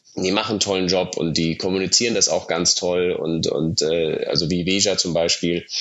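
The man's loudness holds very even. He keeps to a moderate pace. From Germany, Munich (Bavaria). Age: 30s. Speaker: startup founder. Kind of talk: interview.

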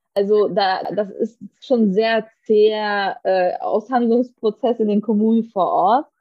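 At a very slow pace with hardly any pauses, a woman speaks at a fairly high pitch, with ordinary pitch variation and very even loudness. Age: 30s. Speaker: politician. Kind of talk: interview.

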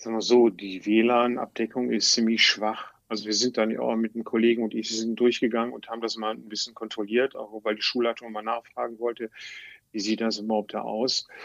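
Flat and monotone, a man talks at a medium pitch. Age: 60s. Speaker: teacher, former civil engineer. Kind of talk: interview. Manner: halting.

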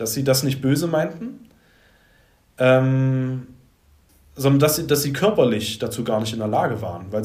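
A man speaks at a medium pitch and a moderate pace, with ordinary pitch variation. His voice is somewhat breathy, and the room echo is audible. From Saxony, Leipzig. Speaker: life coach and former musician. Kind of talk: podcast interview.

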